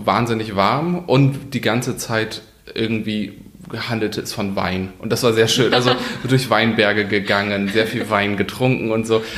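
Heard with audible room echo, a man of medium pitch speaks at a fairly slow pace with ordinary pitch variation. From northern Germany, Kiel. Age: 30s. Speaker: politician. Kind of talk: interview. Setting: parliament office.

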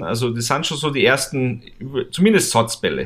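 The man talks at a fairly slow pace. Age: 30s. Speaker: motorsport series manager. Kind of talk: casual chat.

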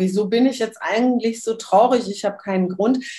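The speaker is female. Her intonation rises and falls in a normal, ordinary way. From Switzerland. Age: 60s. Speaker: human design workshop leader. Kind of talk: interview.

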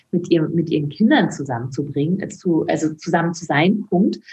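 Somewhat breathy, a woman speaks. Her pace is moderate. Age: 50s. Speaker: author and former midwife. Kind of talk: interview.

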